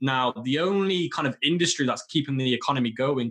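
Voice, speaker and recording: His pitch variation is ordinary. The man talks with a British accent. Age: 20s. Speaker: e-commerce entrepreneur. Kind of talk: interview.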